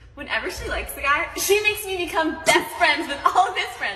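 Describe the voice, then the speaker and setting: A woman speaks in a raised, projected voice. The room echo is audible, with light background noise. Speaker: content creator. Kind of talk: comedic storytelling to camera. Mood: playful, teasing. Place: hall. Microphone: phone near.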